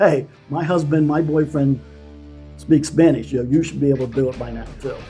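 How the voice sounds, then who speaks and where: A man's fairly high voice with an American accent, fairly quick and fairly even in intonation, with music in the background. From United States. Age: 60s. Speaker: retiree. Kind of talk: interview answer.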